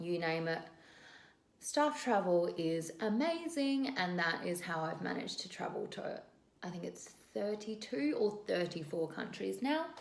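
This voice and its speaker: A woman with an Australian accent at a fairly slow pace, fairly low in pitch with lively intonation, amid noticeable background noise and audible room echo. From Western Australia (Perth). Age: 20s. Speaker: vlogger and flight attendant. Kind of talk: casual vlog intro to camera.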